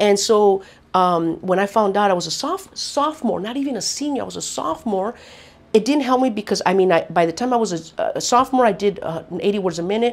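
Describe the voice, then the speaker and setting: This is an ordinary speaking voice with lively intonation. It moves at a fairly quick pace. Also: woman, medium pitch for a woman. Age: 50s. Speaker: mother of the interviewee. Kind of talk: interview testimony.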